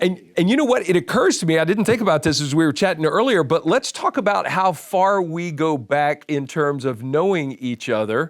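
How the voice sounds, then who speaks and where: A man with an ordinary speaking voice, fairly high in pitch, with lively intonation, a moderate pace and hardly any pauses. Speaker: podcast host, men's ministry leader. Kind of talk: podcast conversation.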